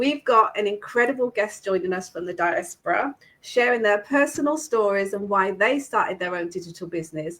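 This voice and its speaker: A woman talks in a British accent. Her tone is animated. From UK. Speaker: online business host. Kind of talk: live stream hosting.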